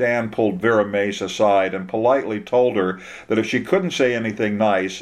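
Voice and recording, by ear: The intonation holds fairly level throughout. A natural voice reads the text aloud.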